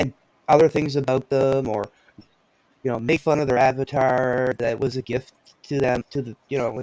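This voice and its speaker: With monotone, flat intonation and a medium pitch, a man speaks at a moderate pace broken by long, frequent pauses. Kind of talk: casual chat. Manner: halting.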